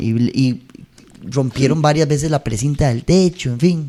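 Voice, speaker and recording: At a fairly slow pace, a man with a Costa Rican accent talks with ordinary pitch variation. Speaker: singer. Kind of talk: interview answer.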